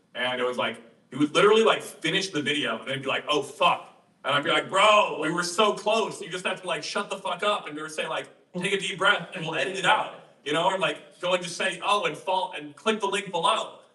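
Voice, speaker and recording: A man's raised, projected voice at high pitch, fairly quick pace and ordinary pitch variation, amid noticeable background noise. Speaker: social media coach. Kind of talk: group coaching session. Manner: fast; casual, filler-heavy.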